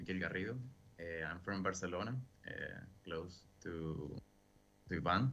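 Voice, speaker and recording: A man's very deep, low voice with a bright, sharp tone, ordinary pitch variation, a moderate pace, long and frequent pauses, and audible room echo. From Venezuela. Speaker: film director. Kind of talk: Q&A panel.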